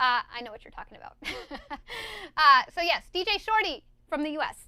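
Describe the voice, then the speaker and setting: In an American accent, a bright, sharp, raised and projected voice runs at a fairly quick pace with very wide pitch swings and big swings in loudness. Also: woman, extremely high pitch for a woman. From USA. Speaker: DJ and scratch teacher. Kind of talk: live-stream tutorial reading chat. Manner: animated, enthusiastic.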